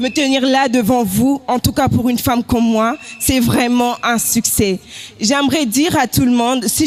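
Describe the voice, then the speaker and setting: Over music in the background, a woman talks at a fairly slow pace with a high pitch, ordinary pitch variation and very even loudness. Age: 20s. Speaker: pageant contestant. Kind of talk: self-presentation speech.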